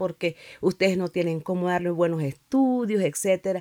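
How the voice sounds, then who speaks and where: A woman with a normal speaking voice at medium pitch, in a dry, close sound with no echo. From Nicaragua. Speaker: pastor and church district superintendent. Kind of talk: interview testimony.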